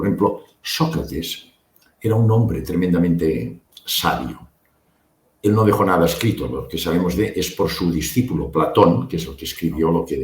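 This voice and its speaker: Moderate-paced male speech, pitched very deep and low, with lively intonation and vocal fry. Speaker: medical doctor and near-death experience researcher. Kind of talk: interview.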